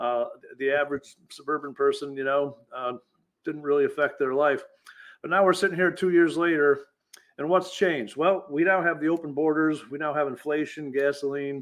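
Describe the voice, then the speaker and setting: A man with a fairly high voice holds a fairly even intonation and a moderate pace. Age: 60s. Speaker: retired police chief, political candidate. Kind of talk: interview. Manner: halting, many repetitions.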